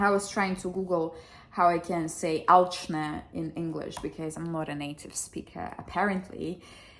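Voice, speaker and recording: A woman with a fairly low pitch speaks at a moderate pace, her loudness swinging widely, over noticeable background noise. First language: Russian. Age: 20s. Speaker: vlogger. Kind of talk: casual vlog. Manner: animated.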